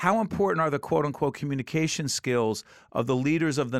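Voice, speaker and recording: A man with an American accent and an unremarkable speaking voice, ordinary pitch variation, fairly quick pace, a very clean recording with a silent background, and a dry, close sound with no echo. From New Jersey. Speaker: radio and TV host. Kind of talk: interview and casual chat.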